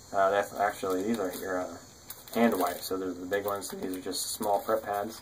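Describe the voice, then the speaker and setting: Over noticeable background noise, a man talks at a fairly quick pace with a fairly low pitch and monotone, flat intonation. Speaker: survival gear youtuber. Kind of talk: gear show-and-tell tutorial. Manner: halting, many fillers.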